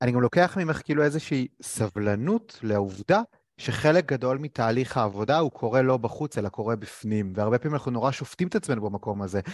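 With an ordinary speaking voice, a man talks at a fairly quick pace with hardly any pauses, a medium pitch and lively intonation, his sound dry and close with no echo against a quiet background. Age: 30s. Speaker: interviewer, career coach. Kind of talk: interview.

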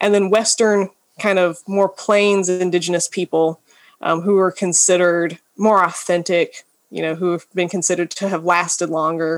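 A woman talks in a normal speaking voice at medium pitch with fairly even intonation. The recording is very clean, with a silent background. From Georgia, US South. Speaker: anthropologist. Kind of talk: interview.

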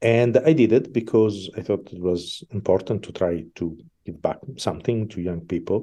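Against a quiet background, a man with a fairly low pitch and a dark, mellow tone talks at a moderate pace, with ordinary pitch variation and big swings in loudness. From Italy, Milan. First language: Italian. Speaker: opera conductor. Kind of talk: interview.

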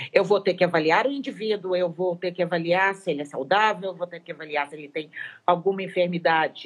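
Here a woman speaks at a fairly low pitch. Her pitch varies in an ordinary way. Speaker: veterinary nutritionist, professor. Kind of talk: interview, technical explanation. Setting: Instagram live video call. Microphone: poor audio with dropouts.

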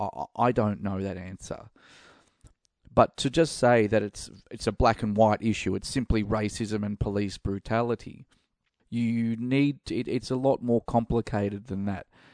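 Delivered at a moderate pace in an Australian accent, the speech has fairly even intonation over a quiet background. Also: man, medium pitch for a man, dry, close sound with no echo. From Australia, Melbourne. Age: middle-aged. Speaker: podcast host. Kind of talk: opinion monologue. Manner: halting, many fillers.

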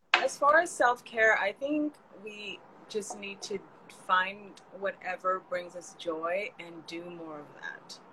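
Speaking with an American accent, a woman talks at a very slow pace with lively intonation. There is noticeable background noise. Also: medium pitch for a woman, big swings in loudness. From California. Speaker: community builder and digital marketer. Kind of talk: casual chat.

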